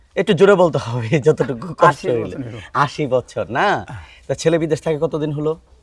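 An unremarkable speaking voice belongs to this man, whose fairly high pitch varies in an ordinary way. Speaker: veterinarian. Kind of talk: field vlog.

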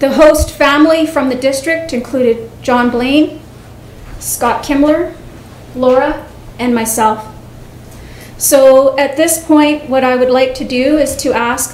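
A woman's high-pitched voice, fairly slow and fairly even in intonation, with audible room echo and light background noise. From Canada. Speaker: vice principal. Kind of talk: presentation. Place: meeting room. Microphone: podium.

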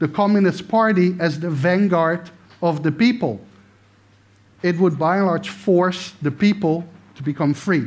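Pitched high for a man, his voice has ordinary pitch variation and a moderate pace. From Netherlands. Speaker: political science professor. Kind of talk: lecture. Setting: stage with audience. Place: stage.

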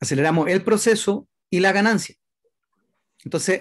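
Against a quiet background, a man with a high-pitched voice speaks at a fairly slow pace, his pitch varying in an ordinary way. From Chile. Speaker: network marketing expansion director; presenter. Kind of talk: sales presentation. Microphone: webcam.

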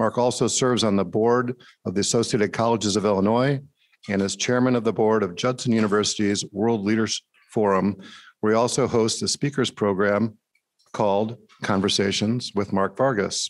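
A man's normal speaking voice, fairly low in pitch, at a moderate pace with fairly even intonation and very even loudness. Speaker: club program co-chair. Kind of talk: speaker introduction. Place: hall. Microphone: podium.

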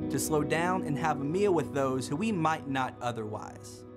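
Music sounds in the background as a man talks at a moderate pace. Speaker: spoken word poet. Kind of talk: spoken word poetry performance. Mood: earnest, warm, preaching tone. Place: studio.

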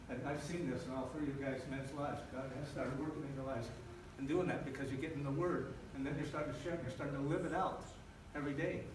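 A man's very fast, fairly high, monotone and flat delivery, with audible room echo and noticeable background noise. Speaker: pastor / church planter. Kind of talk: sermon. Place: church.

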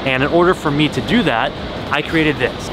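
A man is talking over music in the background. The sound is dry, with no echo. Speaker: car vlogger. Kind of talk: casual vlog chat. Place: street. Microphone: phone near.

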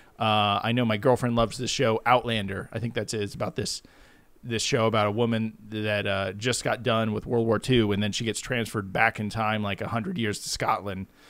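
A man with a medium-pitched, unremarkable speaking voice talks at a fairly quick pace with fairly even intonation. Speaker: podcast co-host. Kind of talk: casual chat.

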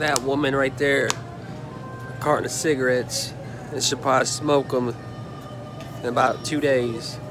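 With music in the background, a man speaks in a flat monotone, leaving long, frequent pauses, and the sound is dry with no echo. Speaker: vlogger. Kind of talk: casual vlog chat.

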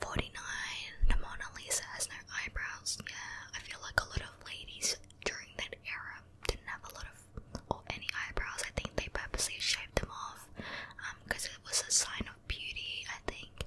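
A woman whispering at a moderate pace, with big swings in loudness. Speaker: ASMR creator. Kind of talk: ASMR whispered fact reading. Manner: whispered. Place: home room. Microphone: studio mic.

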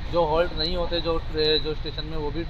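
A man at a moderate pace against noticeable background noise. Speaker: travel vlogger. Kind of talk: casual vlog chat. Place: train. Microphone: lapel.

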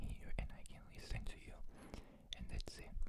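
A woman whispering in a soothing tone at a fairly quick pace. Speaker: ASMR creator. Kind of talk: ASMR eating sounds with comforting talk. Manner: soft-spoken, whispered, soothing. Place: home room. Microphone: phone near.

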